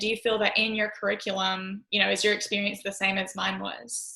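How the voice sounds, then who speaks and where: A woman with a Southern US accent at a medium pitch and moderate pace, bright and sharp in tone. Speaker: physician assistant. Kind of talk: panel discussion. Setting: live recorded podcast.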